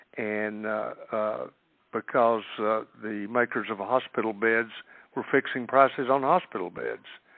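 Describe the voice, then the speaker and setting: A man with an Appalachian accent speaks at a fairly slow pace, his medium pitch held in fairly even intonation. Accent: Appalachian Southern US. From East Tennessee. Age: 60s. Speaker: political candidate. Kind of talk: phone-in Q&A. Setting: conference call. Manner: halting with many fillers.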